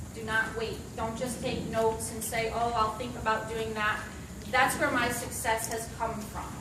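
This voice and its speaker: Amid audible room echo and noticeable background noise, a woman talks at a moderate speed. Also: fairly high pitch for a woman. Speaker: network marketing distributor giving a talk. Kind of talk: motivational presentation. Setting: stage with audience. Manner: animated. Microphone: no mic, speaking unamplified.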